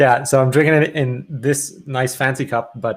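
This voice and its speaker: A man speaks with a Quebec accent at medium pitch. His pace is fairly slow. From Quebec, Canada. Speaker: musician. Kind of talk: casual interview.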